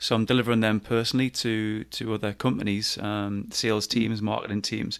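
A man with a Geordie accent talks at a fairly quick pace with hardly any pauses. His voice is fairly low in pitch, with monotone, flat intonation. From Newcastle, north-east England. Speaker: business coach and podcaster. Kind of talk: casual interview.

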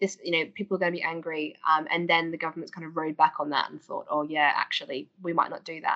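With an Australian accent, a woman with a fairly low pitch talks at a very fast pace with hardly any pauses, ordinary pitch variation and big swings in loudness. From Australia, Queensland. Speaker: political campaigner. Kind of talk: podcast interview. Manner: animated.

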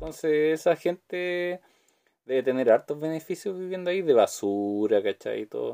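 The speaker talks at a moderate pace with a Chilean accent. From Chile, Santiago. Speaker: podcast host. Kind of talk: casual monologue.

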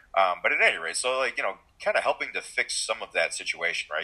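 A man in a Midwestern American accent, speaking at a very fast pace. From Michigan, US. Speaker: physician and powerlifting coach. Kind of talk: casual interview.

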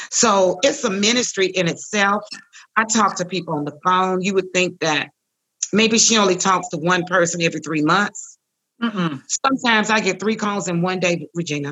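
A woman talks at a moderate pace and medium pitch. Hers is an unremarkable speaking voice. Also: ordinary pitch variation. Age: 60s. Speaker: breast cancer survivor and author. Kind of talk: testimony.

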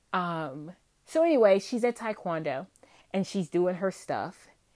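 Speaking at a fairly slow pace, a woman with a slight Southern US accent comes through on a very clean recording with a silent background. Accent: Southern US, slight twang. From Virginia, US South. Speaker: podcast host, homemaker and mom. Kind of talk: casual solo monologue.

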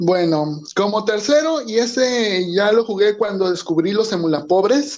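A man with a high pitch talks at a fairly slow pace, with hardly any pauses. His intonation is lively and his loudness very even. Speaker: podcast host. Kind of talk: casual chat. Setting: small home studio. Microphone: recording on phone.

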